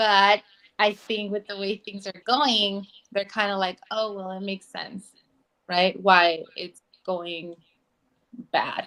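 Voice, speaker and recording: In a Spanish accent, a woman speaks at a very slow pace with long, frequent pauses, her tone bright and sharp and her intonation monotone and flat. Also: medium pitch for a woman, big swings in loudness. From Mexico, Oaxaca. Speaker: political candidate. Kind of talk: interview.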